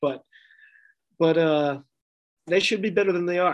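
An American accent comes from a man with ordinary pitch variation. His pace is fairly quick. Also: quiet background. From Massachusetts (Wellesley, Boston area). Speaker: rugby podcaster, fan. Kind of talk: casual chat. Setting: drinking beer during recording.

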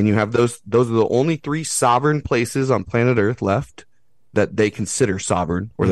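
Against a quiet background, a man with an unremarkable speaking voice talks at a moderate pace and medium pitch with ordinary pitch variation. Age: 30s. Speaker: podcaster and outdoor school founder. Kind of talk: casual chat.

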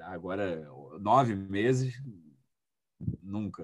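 A man's fairly low voice with ordinary pitch variation at a very slow pace. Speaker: music producer and DJ. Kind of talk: interview.

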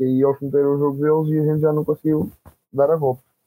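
A man talks at a very fast pace. His tone is dark and mellow, in a dry, close sound with no echo. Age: 20s. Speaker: rugby player. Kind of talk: casual interview.

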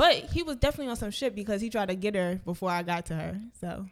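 A woman speaks at a medium pitch with an American accent. The recording is very clean, with a silent background. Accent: noticeable accent, comes off hard. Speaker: podcast co-host. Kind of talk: casual chat.

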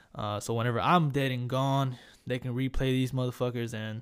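With an American accent, a man speaks at medium pitch and a moderate pace. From Corpus Christi, Texas. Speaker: podcast host, army veteran. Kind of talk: casual rambling intro, profane. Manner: casual, profane, dark humor.

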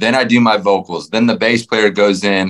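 With a Texan accent, a man speaks at a moderate pace and a fairly low pitch. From Texas, Fort Worth. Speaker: country musician. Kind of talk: casual interview. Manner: rambling.

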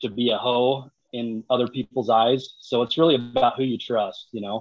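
A man with an American accent speaks at a medium pitch in a flat, monotone way and at a fairly slow pace. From Utah. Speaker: social media creator. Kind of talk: casual chat.

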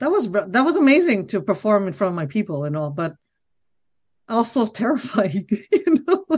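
At a moderate pace, a woman with a fairly high, somewhat breathy voice swings her pitch very widely. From Quebec. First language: Khmer. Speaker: comedian. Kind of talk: casual chat.

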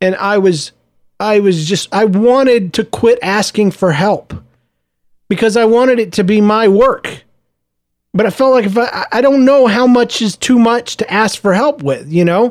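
A man with a high voice speaks at a moderate tempo. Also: ordinary pitch variation. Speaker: podcast host. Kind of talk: personal audio journal monologue. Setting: home office. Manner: conversational; subdued, not audibly happy.

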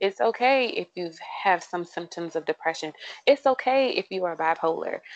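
Speaking in an unremarkable speaking voice with an American accent, the speaker keeps a moderate pace and lively intonation. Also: woman, medium pitch for a woman. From US Mid-Atlantic, southern Maryland. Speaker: occupational therapist. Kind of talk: casual chat.

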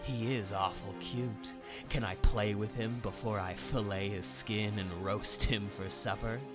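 A man's put-on character voice with fairly low pitch, over loud music in the background. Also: moderate pace. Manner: sadistic, playful.

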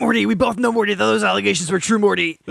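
A man in a put-on character voice, high-pitched and very fast. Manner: sarcastic, put-on.

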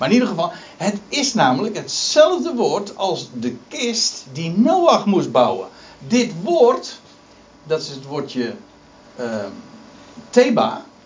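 Over noticeable background noise, a man speaks in a high pitch at a very slow pace, with long, frequent pauses, very wide pitch swings and big swings in loudness. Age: 50s. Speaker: preacher. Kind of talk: sermon. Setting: church. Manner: halting.

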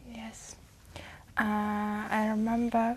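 Somewhat breathy and fairly high-pitched, a woman speaks very slowly in a monotone, flat intonation. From Uzbekistan. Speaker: language test candidate. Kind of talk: speaking exam interview. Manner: halting, many fillers.

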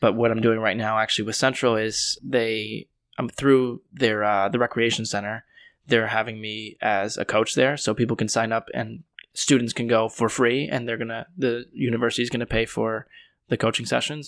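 A man speaks in an ordinary speaking voice with an American accent, medium pitch, and fairly even intonation. His pace is moderate, on a very clean recording with a silent background. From Connecticut, US. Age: 20s. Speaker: life coach and podcaster. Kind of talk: casual interview.

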